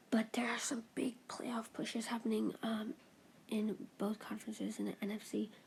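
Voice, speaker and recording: The speech is mumbled. It is also quiet. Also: moderate pace. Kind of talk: casual talk to camera, sports commentary while gaming. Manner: mumbling; quiet, hushed.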